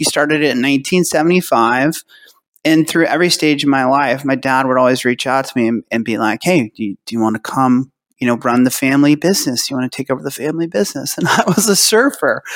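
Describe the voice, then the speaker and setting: A man with a plain, everyday voice speaks at a fairly quick pace and fairly high pitch with ordinary pitch variation, on a very clean recording with a silent background and a dry, close sound with no echo. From California. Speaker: retirement plan business owner. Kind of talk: interview. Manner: casual.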